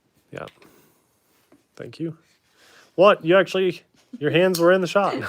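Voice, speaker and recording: At a moderate pace, a man speaks in a high pitch with fairly even intonation and big swings in loudness. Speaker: YouTuber building RC kit. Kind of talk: casual live stream chat.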